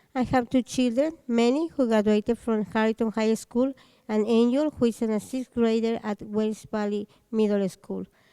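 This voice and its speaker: With a Spanish accent, a woman talks at a moderate pace in a fairly high pitch, her dark, mellow tone carrying ordinary pitch variation. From Mexico. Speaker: parent speaking at public comment. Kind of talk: public comment, reading prepared letter. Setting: school board meeting.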